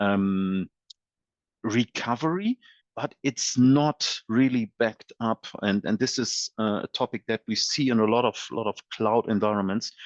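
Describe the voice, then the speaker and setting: A man talks at a medium pitch with ordinary pitch variation. The sound is dry and close, with no echo. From Germany. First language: German. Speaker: software company presales expert. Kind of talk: webinar presentation. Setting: online webinar. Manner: halting, many fillers and repeated words.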